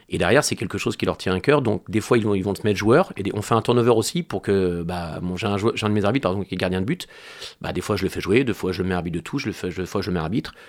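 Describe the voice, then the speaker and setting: Very fast, fairly low male speech with ordinary pitch variation, recorded very cleanly against a silent background. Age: 40s. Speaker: amateur football club president. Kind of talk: interview.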